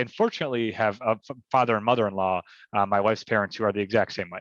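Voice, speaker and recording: A man's medium-pitched voice with an American accent and fairly even intonation, dry and close with no echo, over a quiet background. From Chicago, south side. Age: 30s. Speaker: motivational speaker. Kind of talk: podcast interview answer.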